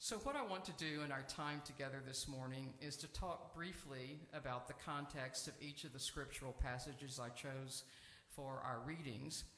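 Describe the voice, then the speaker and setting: A man's bright, sharp voice at a moderate pace, fairly even in intonation, with audible room echo. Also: fairly high pitch for a man. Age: 70s. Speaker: seminarian preacher. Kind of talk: sermon. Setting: church sanctuary.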